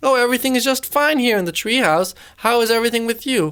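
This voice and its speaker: In a very clean recording with a silent background, a woman uses a put-on character voice at a fairly high pitch and a very fast pace. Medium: read story. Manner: soft, gentle.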